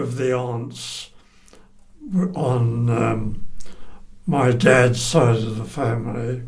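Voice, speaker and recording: Audible room echo surrounds a man's voice. He speaks at a medium pitch and a very slow pace. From England. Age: 90s. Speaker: oral history interviewee. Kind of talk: oral history interview. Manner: halting.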